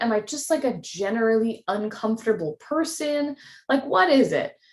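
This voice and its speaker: A woman speaks in an animated tone. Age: 30s. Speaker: podcast host. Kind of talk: casual chat.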